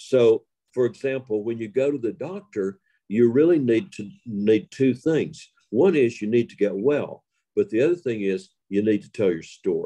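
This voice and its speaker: Lively intonation colors a man's dark, mellow tone. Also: medium pitch for a man, moderate pace. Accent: Appalachian. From Western North Carolina. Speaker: storyteller. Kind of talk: interview.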